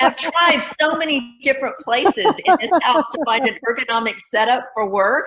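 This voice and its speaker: A woman with a high pitch and an American accent speaks at a moderate pace with hardly any pauses. Her intonation is lively, and there is noticeable background noise. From Texas, Fort Worth. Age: 60s. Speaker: new church member. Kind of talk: casual interview.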